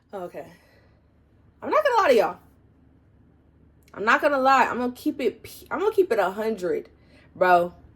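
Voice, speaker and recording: An animated tone at a fairly quick pace, with very wide pitch swings, big swings in loudness, long, frequent pauses, and noticeable background noise. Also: woman, high pitch for a woman. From US South, South Carolina. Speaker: college student vlogger. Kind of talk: casual vlog advice. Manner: fast.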